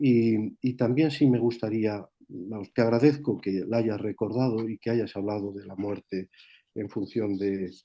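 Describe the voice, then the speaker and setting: A man with an unremarkable speaking voice talks at a fairly slow pace in a fairly low pitch, his intonation fairly even while his loudness swings widely. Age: 60s. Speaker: moderator of a spiritual talk session. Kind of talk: moderated Q&A session.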